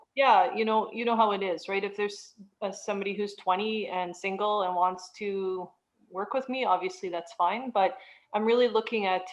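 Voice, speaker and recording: An ordinary speaking voice from a woman at medium pitch, fairly even in intonation, at a moderate pace. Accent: Canadian. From Canada. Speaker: realtor and money coach. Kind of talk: interview.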